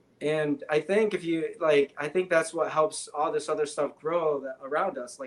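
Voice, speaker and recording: A man with an American accent at a moderate pace, fairly high in pitch, with fairly even intonation, big swings in loudness, hardly any pauses and noticeable background noise. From Michigan, near Detroit. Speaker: guest, physics graduate and Tesla road-tripper. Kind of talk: casual chat.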